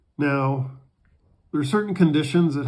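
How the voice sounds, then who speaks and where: Fairly even intonation in a somewhat breathy male voice. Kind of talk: board game rules tutorial. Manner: sluggish, halting.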